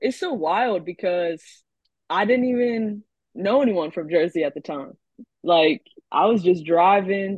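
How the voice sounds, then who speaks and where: Here a woman has an ordinary speaking voice. She talks at a moderate pace with ordinary pitch variation. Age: 20s. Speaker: rap artist. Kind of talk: casual chat.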